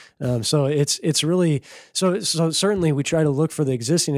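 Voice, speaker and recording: A man with an American accent talks in an ordinary speaking voice at a fairly quick pace with ordinary pitch variation. The recording is very clean, with a silent background. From rural Minnesota. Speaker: rainwater harvesting business owner. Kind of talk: casual interview.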